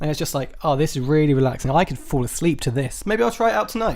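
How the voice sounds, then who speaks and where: A loud man mumbles at a very fast pace with an English accent, a fairly high pitch and very wide pitch swings. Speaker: podcast host. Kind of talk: live solo comedy podcast. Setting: live stream. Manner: mumbling.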